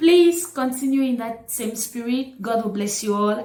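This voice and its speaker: A woman speaks at a high pitch and a moderate pace. Audible echo fills the room. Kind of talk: casual vlog talk.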